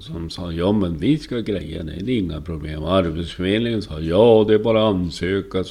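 Over noticeable background noise, the speech goes at a moderate pace with hardly any pauses and ordinary pitch variation. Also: man, very deep, low pitch for a man. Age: 50s. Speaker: podcaster. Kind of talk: personal monologue podcast. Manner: halting, frequent word repetitions; animated.

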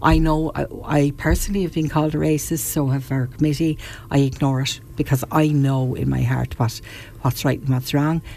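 A woman with an Irish accent at a moderate pace. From Ireland, County Wexford (Rosslare Harbour). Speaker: local protest committee member. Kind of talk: radio interview. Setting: studio.

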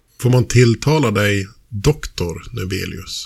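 A man talks at a fairly low pitch, somewhat breathy. The recording is very clean, with a silent background. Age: 40s. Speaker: podcast host. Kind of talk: casual chat.

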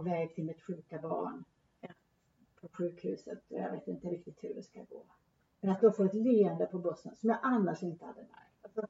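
A woman speaks at a medium pitch with ordinary pitch variation, in an ordinary speaking voice. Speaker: theologian and church official. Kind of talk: casual theological conversation. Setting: Uppsala, recorded in person. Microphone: poor sound quality, hard to hear.

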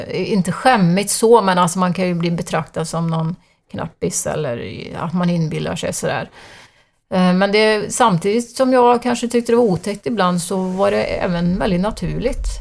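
At a moderate pace, a woman talks with medium pitch and ordinary pitch variation in an ordinary speaking voice. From Sweden, Arentorp (Västergötland). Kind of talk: interview about spiritual experiences.

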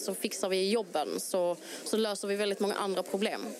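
Monotone, flat intonation at a moderate pace. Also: woman. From Malmö, southern Sweden. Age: 30s. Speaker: local politician. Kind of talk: interview. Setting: outdoor election booth on a town square.

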